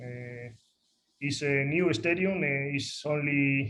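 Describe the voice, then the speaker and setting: Somewhat breathy speech in a Spanish accent, with audible room echo. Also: man. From northern Spain, Asturias. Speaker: football coach. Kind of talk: lecture. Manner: halting, many fillers.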